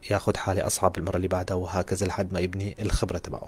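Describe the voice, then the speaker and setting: Very fast and monotone, a man speaks with a very deep, low pitch and a somewhat breathy voice. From Syria. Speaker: orthodontist and university lecturer. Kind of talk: lecture. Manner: halting. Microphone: audio quality issues reported by some listeners.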